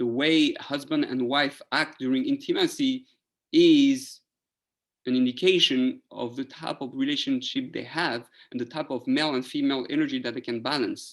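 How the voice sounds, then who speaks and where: A man with a French accent at a moderate pace, over a quiet background. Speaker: rabbi teaching Torah class. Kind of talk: lecture.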